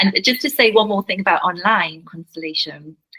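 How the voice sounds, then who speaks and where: Her speech moves fairly quickly. This woman's voice sits at a medium pitch. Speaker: family constellation facilitator. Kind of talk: interview conversation.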